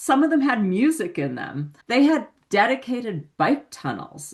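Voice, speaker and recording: A woman with an American accent speaks with very wide pitch swings. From California. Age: 60s. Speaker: touring cyclist. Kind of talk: podcast interview. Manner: animated.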